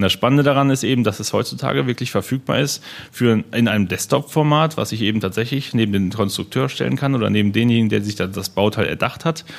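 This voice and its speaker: A man talks at a very fast pace with hardly any pauses. His medium-pitched voice shows ordinary pitch variation. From Germany, Hennef (Rhineland). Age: 20s. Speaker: sales manager at 3D printing company. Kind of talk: interview, technical explanation.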